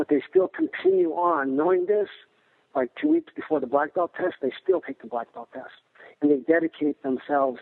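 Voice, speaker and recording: A man's normal speaking voice at a moderate pace, fairly high in pitch, with ordinary pitch variation. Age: 60s. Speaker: martial arts instructor. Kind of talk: interview answer.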